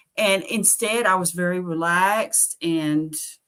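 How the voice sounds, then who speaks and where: A woman with a Southern US accent, fairly low in pitch, bright and sharp in tone, with ordinary pitch variation. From US South, Nashville, Tennessee. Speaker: carnivore diet content creator. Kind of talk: interview. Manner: animated.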